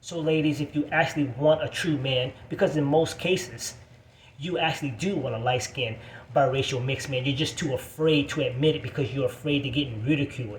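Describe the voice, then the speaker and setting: With an animated tone, a man speaks at a fairly high pitch and a fairly quick pace. His pitch varies in an ordinary way, and noticeable background noise is present. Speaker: video blogger. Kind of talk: angry rant.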